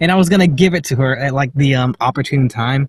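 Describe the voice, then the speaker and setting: The voice is somewhat breathy with ordinary pitch variation. It moves at a fairly quick pace. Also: man. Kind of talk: casual vlog talk to camera. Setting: in a parked car. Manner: hesitant, many filler words.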